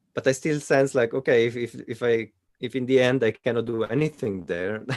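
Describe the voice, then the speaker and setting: A man speaks with a Swiss Italian accent. His pace is fairly quick. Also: medium pitch for a man, ordinary pitch variation. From Italian-speaking Switzerland. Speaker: coaching client and channel host. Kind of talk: coaching session. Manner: halting.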